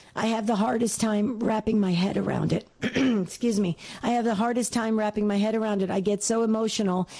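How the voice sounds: A woman speaks at a fairly quick pace in a dark, mellow tone, her intonation fairly even. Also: medium pitch for a woman.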